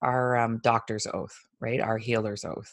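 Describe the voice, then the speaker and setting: A woman talks with a Canadian accent. The background is quiet. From Ontario, Canada. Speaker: intuitive healer and Reiki master. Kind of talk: casual interview chat.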